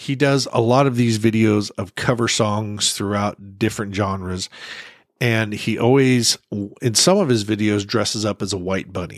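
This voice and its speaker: A normal speaking voice at a moderate pace, fairly even in intonation, in a very clean recording with a silent background. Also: man, fairly low pitch for a man. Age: 50s. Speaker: podcast host. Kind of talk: solo podcast monologue. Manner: casual, conversational.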